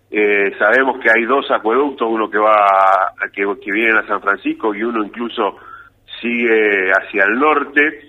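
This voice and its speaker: In a plain, everyday voice, this man keeps his pitch in the middle range. He talks fairly slowly, with intonation that stays fairly even. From Argentina, Rafaela (Santa Fe). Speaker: engineer. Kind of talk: radio interview.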